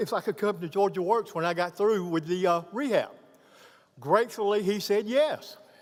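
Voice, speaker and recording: A man with a high pitch talks at a moderate pace, his pitch varying in an ordinary way. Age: 60s. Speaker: program graduate, veteran. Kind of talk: graduation speech. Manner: halting.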